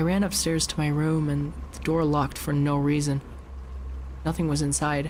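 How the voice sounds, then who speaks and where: There is noticeable background noise throughout. Over it, a man speaks at a moderate tempo. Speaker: vtuber. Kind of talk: creepypasta reading. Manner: soft-spoken.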